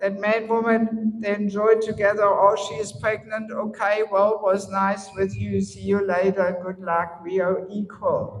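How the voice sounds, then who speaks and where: Over noticeable background noise, a woman with a German accent speaks at a fairly slow pace and medium pitch, with fairly even intonation and hardly any pauses. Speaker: spiritual teacher. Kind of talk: lecture.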